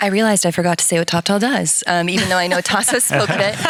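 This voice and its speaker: A woman with an American accent speaks at medium pitch and ordinary pitch variation, over noticeable background noise. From United States. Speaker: enterprise account lead at a freelance platform. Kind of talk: panel discussion.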